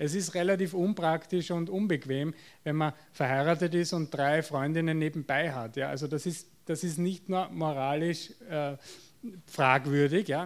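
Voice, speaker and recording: A man with a Viennese accent speaks at a fairly slow pace, his fairly high pitch held in fairly even intonation. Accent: Viennese Austrian German. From Austria, Vienna. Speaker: psychotherapist. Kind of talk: lecture. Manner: halting, with fillers and repetitions.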